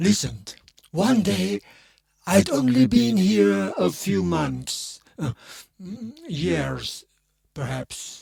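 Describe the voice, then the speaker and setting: A man puts on a character voice at a medium pitch, speaking at a very slow pace with long, frequent pauses. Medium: read story. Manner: brooding, intense.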